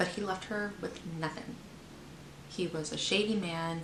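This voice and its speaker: Noticeable background noise and audible room echo are present throughout. Over them, a woman talks with ordinary pitch variation. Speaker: book reviewer. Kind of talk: casual book review vlog. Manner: halting.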